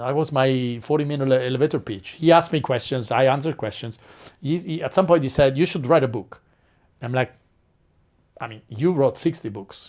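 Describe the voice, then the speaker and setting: With a fairly quick pace and an Italian accent, a man speaks at a fairly high pitch with ordinary pitch variation and big swings in loudness. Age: 40s. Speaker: marketing strategist and author. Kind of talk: interview storytelling. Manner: animated.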